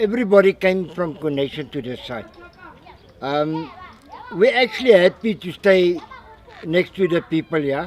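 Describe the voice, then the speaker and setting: Noticeable background noise accompanies a man with a high pitch and ordinary pitch variation. He talks at a fairly slow pace. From South Africa, Limpopo (Warmbad). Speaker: slum resident. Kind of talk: interview.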